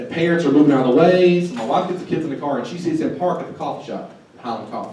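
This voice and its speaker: Noticeable background noise and audible room echo are in the recording. A man speaks at a very fast pace. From Eastern Kentucky, Harlan County. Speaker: workshop presenter. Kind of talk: workshop presentation. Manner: animated.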